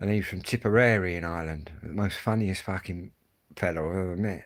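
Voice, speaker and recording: With fairly even intonation, a man speaks fairly quickly in a very deep, low pitch. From Kent, southeast England. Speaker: live streamer. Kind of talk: casual chat. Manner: fast; casual, rambling with fillers.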